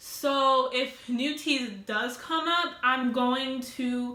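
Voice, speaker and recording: A woman's high-pitched voice has a bright, sharp tone and audible room echo. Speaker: vlogger. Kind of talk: casual storytime vlog. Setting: at home alone, sitting on the floor. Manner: loud.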